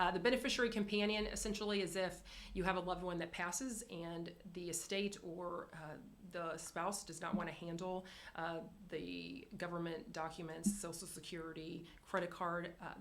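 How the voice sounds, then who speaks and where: The woman's voice sits fairly low and her intonation stays fairly even. Room echo is audible. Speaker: insurance carrier representative. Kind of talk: business presentation. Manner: fast.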